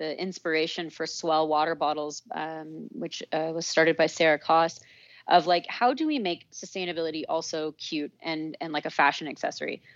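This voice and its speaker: Her pitch is fairly low and her intonation fairly even, with big swings in loudness. The woman keeps a moderate pace with hardly any pauses. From US Southwest, Santa Fe, New Mexico. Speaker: company founder and CEO. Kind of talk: interview. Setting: remote call. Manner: casual, lots of fillers.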